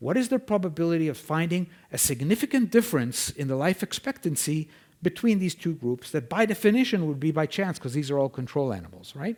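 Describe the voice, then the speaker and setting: A man with a non-native accent speaks at a fairly quick pace in a high voice with very wide pitch swings. The recording is very clean with a silent background. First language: not English. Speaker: scientist presenting research. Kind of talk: conference lecture. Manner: conversational, frequent 'okay?' checks.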